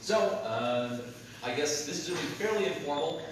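Heard through strong room echo and noticeable background noise, a man talks at a moderate pace. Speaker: lecturer. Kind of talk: lecture. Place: hall. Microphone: camera far.

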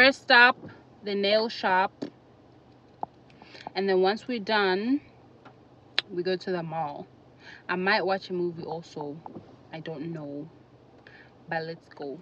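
Amid noticeable background noise, a woman speaks very slowly with long, frequent pauses, big swings in loudness and ordinary pitch variation, the sound dry with no echo. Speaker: vlogger. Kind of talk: casual vlog chat. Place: car. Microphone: phone near.

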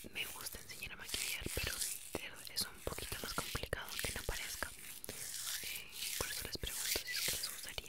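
A woman whispers at a very fast pace. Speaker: ASMR-style vlogger. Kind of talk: casual vlog chat. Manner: soft, hushed ASMR talk close to mic. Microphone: studio mic.

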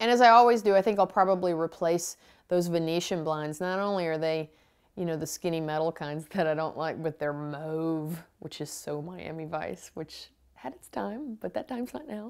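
At a moderate pace, a woman speaks with a fairly low pitch and ordinary pitch variation. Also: big swings in loudness, quiet background. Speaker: home makeover show host. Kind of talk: TV host commentary. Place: home room.

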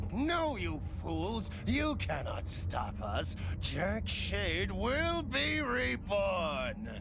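A man at a very slow pace against loud background noise. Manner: gloating, menacing.

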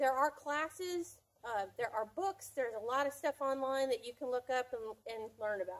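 With an American accent, a woman speaks at a moderate pace in a high voice with lively intonation. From US, rural farm background. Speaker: homesteader. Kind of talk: casual tutorial to camera.

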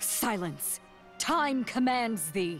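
Clear music plays behind a female-sounding, put-on character voice pitched fairly high. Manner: commanding, imperious.

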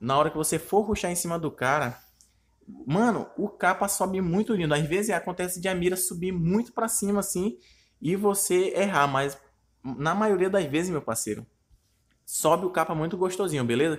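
At a moderate pace and with ordinary pitch variation, the speaker is heard on a very clean recording with a silent background. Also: man, high pitch for a man. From Brazil, Manaus (Amazonas). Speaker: gaming youtuber. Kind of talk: live gameplay commentary. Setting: recorded gameplay video. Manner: animated.

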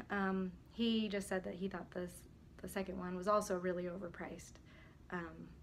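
A woman's medium-pitched voice with vocal fry at a moderate pace. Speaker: real estate agent. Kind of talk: casual talk to camera.

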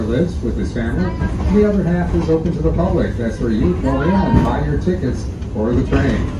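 This man's delivery is fairly quick. Loud noise fills the background. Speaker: train tour guide. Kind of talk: tour commentary. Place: train.

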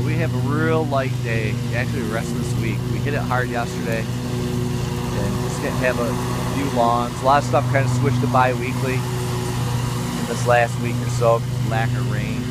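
Against loud background noise, the voice moves at a moderate pace with hardly any pauses in a dry sound with no echo. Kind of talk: casual vlog chat. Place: garden. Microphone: phone near.

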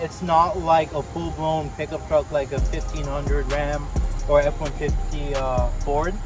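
Over clear background music, a man speaks in a dry sound with no echo. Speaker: car reviewer. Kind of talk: casual review walkthrough. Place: street.

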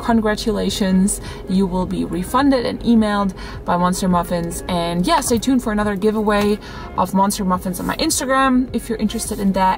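A woman speaks with clear music in the background. The sound is dry, with no echo. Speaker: vlogger. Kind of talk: casual vlog chat. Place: car. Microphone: phone near.

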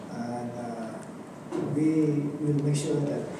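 A man speaks with noticeable background noise. The room echo is strong. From Sabah, Malaysia. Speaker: politician. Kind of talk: Q&A answer at a forum. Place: classroom.

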